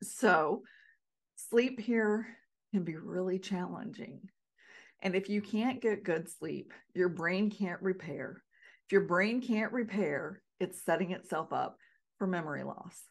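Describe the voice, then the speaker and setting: Speaking slowly with long, frequent pauses, a woman with an American accent uses ordinary pitch variation. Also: medium pitch for a woman. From North Carolina. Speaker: podcast host, Alzheimer's prevention educator. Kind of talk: solo podcast talk.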